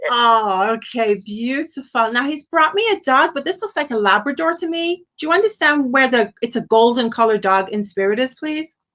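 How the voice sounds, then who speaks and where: A woman with a high, bright, sharp voice talks at a moderate pace, her pitch swinging very widely and hardly any pauses between words. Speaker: psychic medium. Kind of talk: live psychic reading on a call-in stream. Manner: animated.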